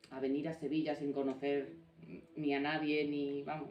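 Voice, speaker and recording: A woman's speech, fairly slow and very deep and low in pitch. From Navarra and Galicia, Spain. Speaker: author and former prison officer. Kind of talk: book presentation talk. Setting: small live audience. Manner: informal, with hesitations.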